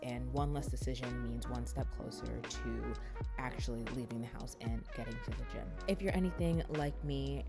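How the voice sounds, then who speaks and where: A woman with a very deep, low pitch and an upbeat tone, moderately paced, music playing in the background. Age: 20s. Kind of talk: casual vlog voice-over.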